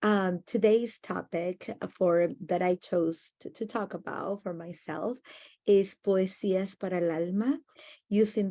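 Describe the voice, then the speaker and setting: A woman with a Spanish accent speaks at a medium pitch in a dark, mellow tone with fairly even intonation. The sound is dry and close with no echo, over a quiet background. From Argentina, Buenos Aires. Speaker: educator. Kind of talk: conference presentation.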